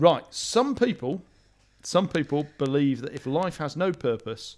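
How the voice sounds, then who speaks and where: Here a man with a British accent speaks at a moderate pace with ordinary pitch variation. The recording is very clean, with a silent background. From Britain. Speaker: podcast co-host. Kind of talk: casual chat. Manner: halting.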